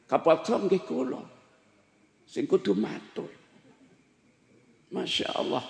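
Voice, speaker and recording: Very slowly, a man talks at a fairly high pitch. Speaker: Islamic preacher. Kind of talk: sermon. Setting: religious gathering with audience.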